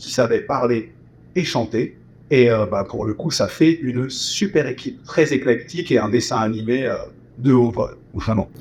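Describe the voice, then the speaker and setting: A somewhat breathy man talks fairly slowly, his intonation lively. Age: 40s. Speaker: voice actor and musical performer. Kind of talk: interview.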